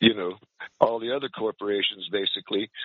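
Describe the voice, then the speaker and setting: A man talks at medium pitch in a normal speaking voice. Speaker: caller.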